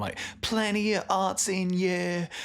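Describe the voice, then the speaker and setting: The speaker is a man with a Welsh accent. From Wales, Cardiff area. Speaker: musician. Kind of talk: podcast interview.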